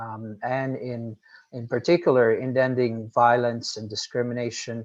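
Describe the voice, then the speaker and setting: Speaking with a Portuguese accent, a man holds a medium pitch and a moderate pace in a monotone, flat intonation. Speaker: nonprofit executive director. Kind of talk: panel discussion talk. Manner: hesitant, many fillers.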